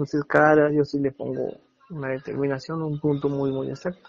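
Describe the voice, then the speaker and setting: A man with a fairly high pitch, an unremarkable speaking voice, and a moderate pace. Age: 30s. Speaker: architect. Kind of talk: interview. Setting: phone call.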